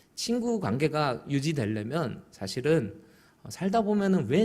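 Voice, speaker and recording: With a slight Busan accent, a man at a fairly high pitch talks at a moderate pace, his pitch swinging very widely amid audible room echo. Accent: weak Busan dialect. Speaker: pastor. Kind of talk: sermon.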